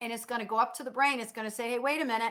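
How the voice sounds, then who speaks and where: A loud woman with an animated tone. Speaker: nursing instructor. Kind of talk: lecture. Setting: online class from home dining room.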